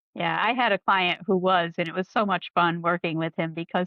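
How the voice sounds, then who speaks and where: With an American accent and vocal fry, a woman talks at a fairly quick pace and a fairly low pitch, keeping her intonation fairly even. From upstate New York. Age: 60s. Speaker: nutritional therapy practitioner. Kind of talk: casual chat.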